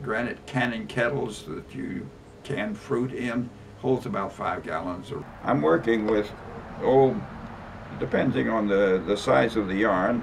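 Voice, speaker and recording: A man with a fairly low pitch speaks at a fairly slow pace with lively intonation, taking long, frequent pauses over noticeable background noise. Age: 90s. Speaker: rug maker. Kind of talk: tutorial. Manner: halting.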